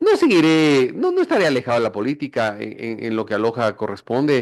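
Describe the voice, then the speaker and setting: A man's ordinary speaking voice at a fairly quick pace, with ordinary pitch variation over a quiet background. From Ecuador, Quito. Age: 60s. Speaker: politician. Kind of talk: radio interview.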